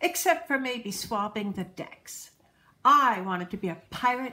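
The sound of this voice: Intonation is lively here. It comes in an unforced reading voice.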